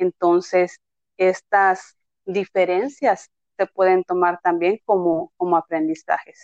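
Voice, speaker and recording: A woman's medium-pitched voice at a very slow pace. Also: fairly even intonation. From Yucatán, Mexico (Tekax). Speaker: special education teacher. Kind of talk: interview, explanatory.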